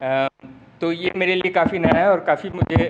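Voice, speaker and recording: Music in the background, with ordinary pitch variation. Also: man. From Mumbai, India. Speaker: urban researcher and teacher. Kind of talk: lecture. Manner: halting, many fillers.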